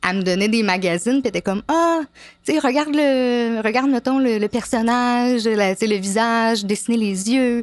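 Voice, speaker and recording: Over a quiet background, the speech has very even loudness, ordinary pitch variation and a moderate pace. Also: woman, fairly high pitch for a woman. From Quebec, Montreal. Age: 30s. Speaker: apprentice tattoo artist. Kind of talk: interview. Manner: hesitant, many fillers.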